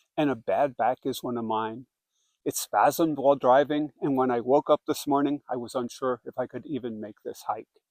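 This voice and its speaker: Here a man speaks at a medium pitch and a moderate pace. His intonation is fairly even. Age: 60s. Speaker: hiker. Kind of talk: casual reflective talk to camera. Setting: outdoors. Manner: reflective.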